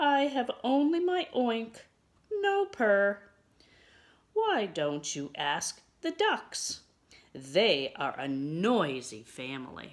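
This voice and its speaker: A woman's put-on character voice at a fairly high pitch, at a very slow pace with long, frequent pauses. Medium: read story. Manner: kind.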